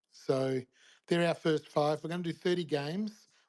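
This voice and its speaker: A man speaks with an Australian accent. His pace is fairly quick, and his pitch variation is ordinary. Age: 60s. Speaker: gaming company founder. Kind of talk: interview, casual chat.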